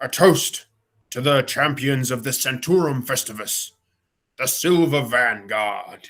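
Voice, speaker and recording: A man at medium pitch does a put-on character voice at a fairly slow pace. The recording is very clean, with a silent background. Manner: loud, proclaiming, ceremonial.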